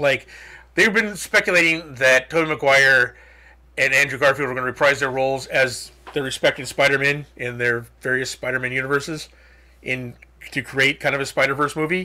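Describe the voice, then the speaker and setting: Bright and sharp in tone, a man talks at a fairly quick pace with ordinary pitch variation. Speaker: podcast host. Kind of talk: casual podcast commentary. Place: home room.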